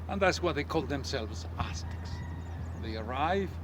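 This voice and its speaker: A man with a very deep, low pitch speaks in a passionate tone over noticeable background noise. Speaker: tour guide and history teacher. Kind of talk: tour guide narration, casual talk to camera. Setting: outdoors at sunrise. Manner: passionate, conversational.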